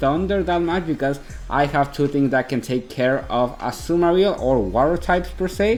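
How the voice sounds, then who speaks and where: Over music in the background, a man talks with a Mexican accent at a fairly high pitch. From Mexico. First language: Spanish. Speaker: video game commentator. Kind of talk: gameplay commentary.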